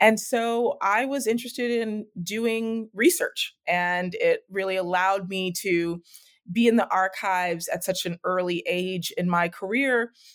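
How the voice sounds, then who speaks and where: With a medium pitch and ordinary pitch variation, a woman speaks at a fairly slow pace in an ordinary speaking voice, on a very clean recording with a silent background. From US, Mexican-American. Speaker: history professor. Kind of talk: interview. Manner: frequent fillers (um).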